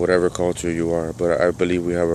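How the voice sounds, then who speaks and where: A man's very deep, low voice, dark and mellow in tone, flat and monotone, at a fairly quick pace. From Cuba. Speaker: vlogger. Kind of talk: political monologue.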